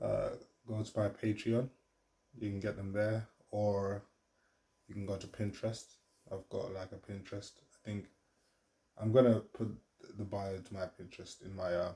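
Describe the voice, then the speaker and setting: Quiet and somewhat breathy, a man talks at a moderate pace with a fairly low pitch and a dark, mellow tone, his intonation monotone and flat, his loudness swinging widely, and his pauses long and frequent. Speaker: vlogger and artist. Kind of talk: casual vlog monologue. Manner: quiet, low voice; hesitant, many fillers.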